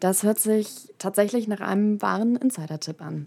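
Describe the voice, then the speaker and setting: Pitch rises and falls across a very wide range. Nothing but silence lies behind this very clean recording. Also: woman. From Hamburg, northern Germany. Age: 20s. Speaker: podcast host, university student. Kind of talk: casual interview.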